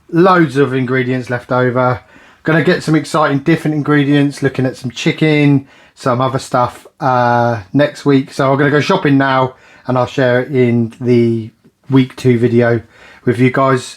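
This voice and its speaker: A man with a British accent, medium pitch, fairly even intonation and a moderate pace over a quiet background. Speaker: budget cooking vlogger. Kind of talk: casual vlog talk to camera.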